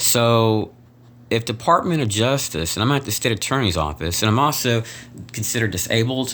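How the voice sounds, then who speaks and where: A medium-pitched man with lively intonation, talking at a fairly quick pace. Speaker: vlogger. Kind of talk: personal video complaint. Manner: soft-spoken; halting.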